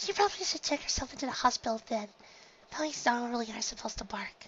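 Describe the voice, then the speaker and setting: A put-on character voice, fairly high in pitch, rattles along at a very fast pace. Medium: read story. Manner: earnest, naive.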